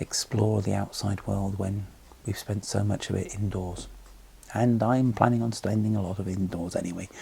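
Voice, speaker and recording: A man's dark, mellow, somewhat breathy voice, fairly low in pitch, monotone and flat, at a fairly quick pace. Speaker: tabletop gaming vlogger. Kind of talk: casual vlog monologue. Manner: hesitant, with frequent ums.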